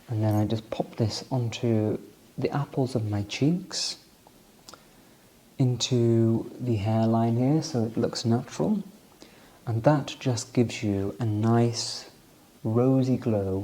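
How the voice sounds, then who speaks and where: A soft-spoken man talks at a very slow pace in a calm, soothing tone, his medium pitch moving with ordinary variation between long, frequent pauses. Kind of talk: ASMR soft-spoken product walkthrough. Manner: soft-spoken, calm, soothing.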